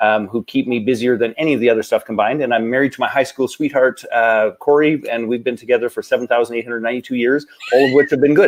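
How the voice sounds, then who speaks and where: Here a man talks with a Canadian accent. His pitch is medium, with ordinary pitch variation. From western Canada (Calgary, Alberta). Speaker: entrepreneur and business coach. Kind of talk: interview. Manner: fast.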